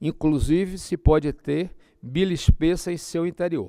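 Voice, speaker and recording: A man speaks at a fairly slow pace in a high pitch with a dark, mellow tone and ordinary pitch variation, the sound dry and close with no echo on a very clean recording with a silent background. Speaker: physician lecturing on ultrasound. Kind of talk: lecture.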